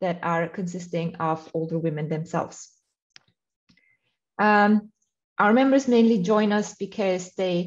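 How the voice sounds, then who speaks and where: Here is a woman with an unremarkable speaking voice at a medium pitch. She keeps a moderate pace and ordinary pitch variation. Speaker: NGO representative. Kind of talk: conference presentation. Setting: conference with interpreters.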